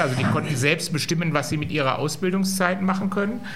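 A man talks with ordinary pitch variation. There is audible room echo along with noticeable background noise. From Germany, Solingen. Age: 50s. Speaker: company managing director. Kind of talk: live interview. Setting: stage with live audience.

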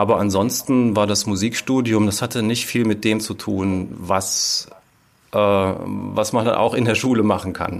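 Speaking at a fairly slow pace, a man with a fairly low pitch and fairly even intonation has a plain, everyday voice. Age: 40s. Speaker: former special-needs teacher turned musical writer and editor. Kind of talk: interview.

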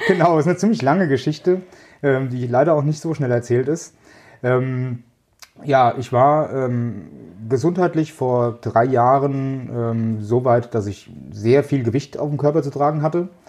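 This man has a plain, everyday voice with medium pitch, ordinary pitch variation and a fairly slow pace. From central Hesse, Germany. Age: 40s. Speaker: logistics manager. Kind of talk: interview.

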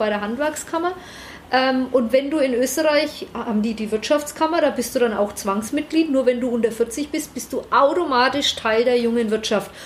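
A woman's high-pitched voice at a moderate pace with ordinary pitch variation, over noticeable background noise. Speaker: managing director of a business park. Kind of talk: interview. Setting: office.

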